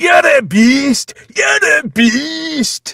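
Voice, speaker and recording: In a raised, projected, put-on character voice with a Scottish accent, a man speaks at an extremely high pitch, the sound dry and close with no echo. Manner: shouting, heckling.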